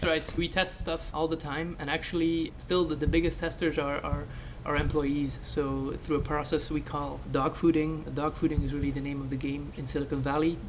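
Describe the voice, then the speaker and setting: A man's fairly high-pitched voice, monotone and flat, at a moderate pace with hardly any pauses, over noticeable background noise. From Belgium (West Flanders). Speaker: podcast co-host, software engineer. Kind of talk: casual chat.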